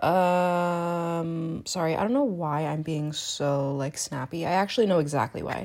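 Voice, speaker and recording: A woman's voice with hardly any pauses and ordinary pitch variation, on a very clean recording with a silent background. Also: fairly low pitch for a woman, fairly slow pace. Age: 20s. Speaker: podcast host and student. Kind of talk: casual solo monologue.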